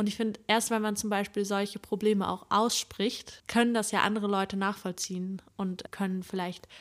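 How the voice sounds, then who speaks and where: Very clean recording, silent background. A woman talks in a normal speaking voice, with medium pitch, fairly even intonation, and a moderate pace. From northeastern Germany, Usedom. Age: 20s. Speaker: psychology student, podcast co-host. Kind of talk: casual chat. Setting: sitting together on the floor in one room.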